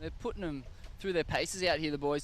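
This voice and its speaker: With an Australian accent, a man talks in a fairly high pitch. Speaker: surf contest commentator. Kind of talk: live commentary. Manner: animated.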